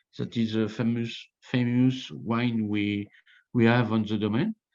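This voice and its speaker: At a very slow pace, a man with a French accent speaks at a medium pitch with ordinary pitch variation, the background quiet. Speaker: winemaker. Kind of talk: interview. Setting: video call. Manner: halting.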